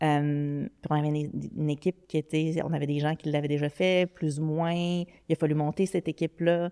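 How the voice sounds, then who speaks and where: A woman's very deep, low voice with a dark, mellow tone and a Quebec accent, flat and monotone at a moderate pace, in a dry, close sound with no echo. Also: very clean recording, silent background. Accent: Québécois French. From Quebec City, Quebec. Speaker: digital strategy executive. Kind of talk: podcast interview.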